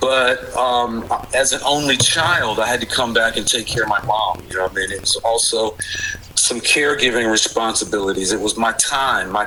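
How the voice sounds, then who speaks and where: With an American accent, a man speaks at a medium pitch and a moderate pace, with ordinary pitch variation. Noticeable background noise runs underneath. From Maryland, DC suburbs. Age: 60s. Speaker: former bike messenger. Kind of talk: casual interview. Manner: energetic, youthful cadence.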